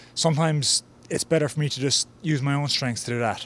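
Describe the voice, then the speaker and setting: A man talks at a fairly quick pace, the sound dry with no echo. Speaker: interviewee. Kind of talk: interview answer. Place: garden. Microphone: handheld.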